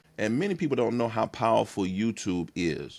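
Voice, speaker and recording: With an American accent, a man speaks in an animated tone at a moderate pace. The recording is very clean, with a silent background. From East Texas (Tyler). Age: 50s. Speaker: pastor and content creator. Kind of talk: podcast interview.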